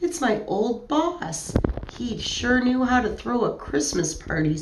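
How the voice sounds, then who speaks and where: Against clear background noise, a woman does a shaky, high-pitched put-on character voice at a fairly slow pace with very wide pitch swings. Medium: read story.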